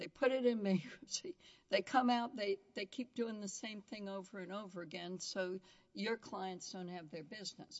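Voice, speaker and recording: A woman speaks at a moderate pace in a plain, everyday voice, her pitch medium with ordinary variation. Her loudness swings widely. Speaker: appellate judge. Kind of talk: court hearing. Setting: courtroom.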